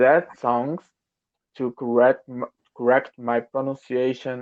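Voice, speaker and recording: With a Brazilian Portuguese accent, a man speaks at medium pitch in monotone, flat intonation. The sound is dry and close, with no echo. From Brazil, São Paulo. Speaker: English learner. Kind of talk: casual conversation lesson. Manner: halting.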